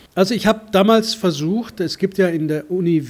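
Here a man uses a plain, everyday voice. He keeps a moderate pace, and his pitch moves in an ordinary way. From Germany, Munich. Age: 50s. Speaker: foreign correspondent. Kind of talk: interview.

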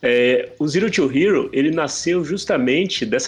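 Vocal fry marks a man's speech. He talks at a fairly slow pace, his pitch swinging very widely. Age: 40s. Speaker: tech entrepreneur and airsoft player. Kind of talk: casual chat.

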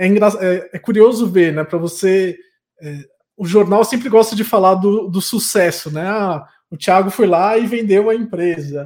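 This man has a high pitch and ordinary pitch variation, speaking at a fairly slow pace. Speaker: podcast host, entrepreneur. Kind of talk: casual interview conversation.

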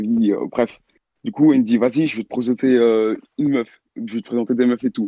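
A man speaks fairly quickly at a medium pitch, his tone dark and mellow. His intonation stays fairly even, and the sound is dry and close with no echo. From Belgium. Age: young. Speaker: caller telling a story. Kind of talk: storytelling. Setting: online voice call.

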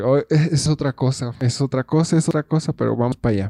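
Dry and close with no echo, a man's voice has a dark, mellow tone and a fairly high pitch with ordinary variation. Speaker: podcaster and video creator. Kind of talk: casual solo monologue. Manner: hesitant, with many fillers and repetitions. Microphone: new microphone bought for making songs.

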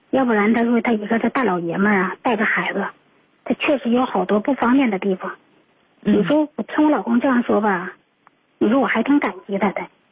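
A woman with an unremarkable speaking voice talks at a fairly quick pace. Her pitch is fairly high, with ordinary variation. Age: 40s. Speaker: radio call-in listener. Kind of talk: personal story on call-in show. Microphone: too quiet.

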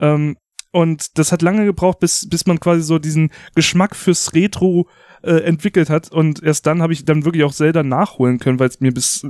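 A man's plain, everyday voice, fairly high in pitch, with fairly even intonation at a moderate pace, dry and close with no echo. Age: 30s. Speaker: video game podcast host. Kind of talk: casual chat.

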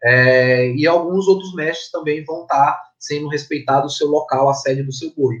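Hardly pausing, a man talks at a moderate pace with fairly even intonation and a fairly high pitch. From Maranhão, Brazil (Tuntum, then São Luís). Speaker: graffiti artist and architect. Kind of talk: interview. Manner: halting, repeats words. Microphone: connection problems at start.

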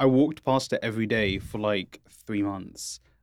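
Recorded very cleanly with a silent background, a man talks at a moderate pace in an ordinary speaking voice, his pitch fairly low. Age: 20s. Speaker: podcast host. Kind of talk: casual chat. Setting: studio.

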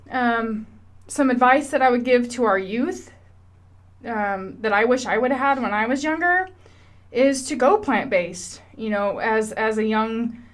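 The speaker has an American accent and talks at a moderate pace with ordinary pitch variation, with audible room echo. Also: woman. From Washington State, US. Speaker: podcaster. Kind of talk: personal monologue.

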